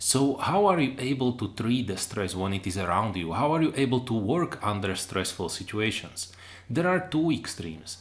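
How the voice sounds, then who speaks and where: In a room with audible echo, a man of medium pitch speaks at a moderate pace with lively intonation and a non-native accent. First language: not English. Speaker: online lecturer. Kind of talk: lecture. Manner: hesitant, with fillers.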